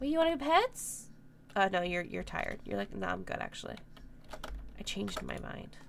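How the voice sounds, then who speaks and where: In a room with audible echo, a woman talks at a fairly quick pace broken by long, frequent pauses. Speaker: video game streamer. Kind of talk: live gameplay commentary. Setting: live stream. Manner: casual, chatty.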